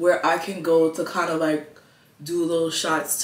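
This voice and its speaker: There is audible room echo as a woman with a very deep, low voice speaks at a fairly slow pace. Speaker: vlogger. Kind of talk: casual vlog chat. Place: home room. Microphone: camera far.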